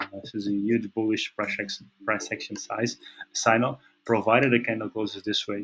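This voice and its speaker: With a Portuguese accent, a man talks at a moderate pace in a fairly low voice with monotone, flat intonation. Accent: non-native English, Portuguese. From Portugal. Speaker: trading analyst. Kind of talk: technical analysis commentary. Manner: halting, many fillers and repetitions.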